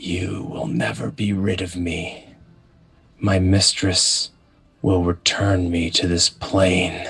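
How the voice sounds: A man whispering very slowly in a put-on character voice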